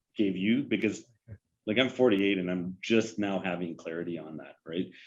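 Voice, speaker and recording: A man with a Canadian accent, moderate pace and ordinary pitch variation. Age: 40s. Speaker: police chief. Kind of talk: podcast interview. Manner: halting.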